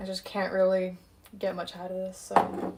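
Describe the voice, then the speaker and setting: Speech at a moderate pace in an American accent, with noticeable background noise. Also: woman. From San Diego, US, then London from age ten. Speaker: home cook streamer. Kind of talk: casual cooking livestream chat. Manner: hesitant, many fillers.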